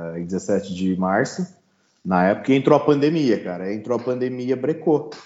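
With lively intonation, this man keeps a moderate speed. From Brazil, São Paulo state interior. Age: 30s. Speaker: pitmaster and agronomist. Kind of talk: casual interview chat.

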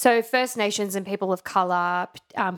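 A woman with an Australian accent speaks at a medium pitch on a very clean recording with a silent background. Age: 30s. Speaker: podcast host, musical theatre enthusiast. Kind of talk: casual chat.

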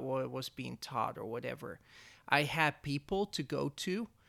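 On a very clean recording with a silent background, a man with a Dutch accent speaks in a bright, sharp tone. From Netherlands. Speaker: church media staff. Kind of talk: interview.

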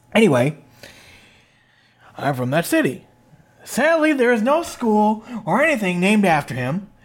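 Long, frequent pauses break up speech with very wide pitch swings, delivered in an Upper Midwest accent. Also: man, high pitch for a man, moderate pace. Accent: Upper Midwest American. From Minnesota (Princeton, near Minneapolis). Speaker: wrestling podcast host. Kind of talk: casual chat.

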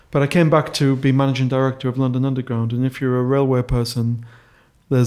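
A man's dark, mellow tone in a monotone, flat intonation. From northeast England. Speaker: rail project chief executive. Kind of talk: interview.

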